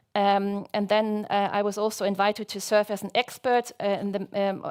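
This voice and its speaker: A woman at medium pitch on a very clean recording with a silent background. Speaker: researcher presenting grant work. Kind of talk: conference talk. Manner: fast; hesitant, many fillers.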